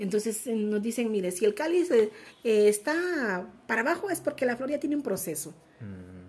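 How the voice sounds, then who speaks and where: Her fairly high, somewhat breathy voice moves through very wide pitch swings as this woman speaks. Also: moderate pace. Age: 40s. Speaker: entrepreneur. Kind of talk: interview.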